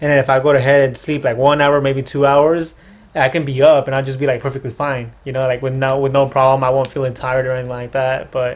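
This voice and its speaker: A man speaks with an American accent at a medium pitch. His delivery is very fast and flat, in a monotone. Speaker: podcast host. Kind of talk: casual chat. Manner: halting.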